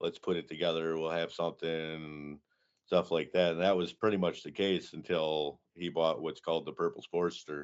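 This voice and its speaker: In a Michigan accent, a man speaks with a very deep, low pitch and flat, monotone intonation. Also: moderate pace. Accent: Midwestern American (Michigan). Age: 30s. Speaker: motorcycle build competition founder. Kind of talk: casual interview.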